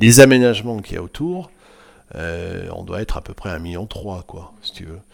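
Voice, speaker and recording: With a fairly low pitch, a man talks at a moderate pace, his intonation lively and his loudness swinging widely, on a very clean recording with a silent background. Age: 60s. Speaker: water-ski club president. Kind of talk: casual chat. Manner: halting.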